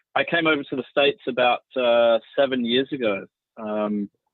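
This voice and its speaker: The speaker, with an Australian accent, talks at a fairly slow pace with fairly even intonation. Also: man. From Australia, Sydney. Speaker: marketing executive. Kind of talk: panel discussion.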